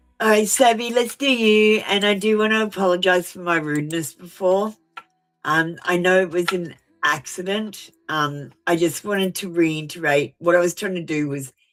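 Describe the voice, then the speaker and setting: Music runs in the background as the voice moves at a moderate pace with ordinary pitch variation. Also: woman. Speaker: tarot reader. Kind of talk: live stream tarot reading. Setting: live stream. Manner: blunt.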